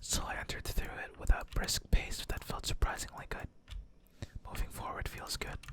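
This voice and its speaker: Someone whispers over noticeable background noise. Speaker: vtuber ASMR gaming streamer. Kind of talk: visual novel reading, ASMR. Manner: whispered, soft-spoken.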